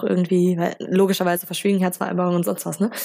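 A woman's medium-pitched, dark and mellow voice in a flat monotone. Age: 20s. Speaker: law student. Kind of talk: casual interview.

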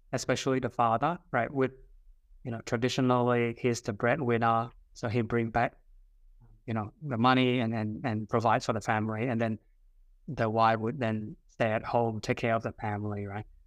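At a moderate pace, a man with a Vietnamese accent speaks at a medium pitch with fairly even intonation. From southern Vietnam. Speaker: career coach and father. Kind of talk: podcast interview. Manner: hesitant, many fillers.

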